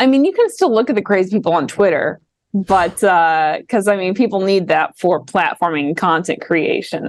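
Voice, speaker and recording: Her voice, a woman's, sits at medium pitch with a slight Midwestern accent, a moderate pace, very even loudness and ordinary pitch variation. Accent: slight Midwest. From Washington DC. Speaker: PhD student and political commentator. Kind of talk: casual political chat. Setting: video call.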